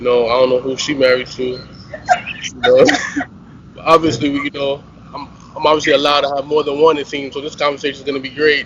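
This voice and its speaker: Over noticeable background noise, a man speaks very fast at a fairly high pitch, his intonation monotone and flat and his loudness swinging widely. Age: 30s. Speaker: entrepreneur, panel guest. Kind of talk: casual panel discussion.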